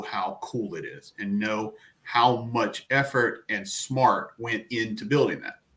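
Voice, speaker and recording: Speaking with an American accent, a man uses a medium pitch, ordinary pitch variation and a bright, sharp tone. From US South, Atlanta. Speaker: tech industry veteran. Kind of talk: interview. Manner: halting, many fillers and repeats.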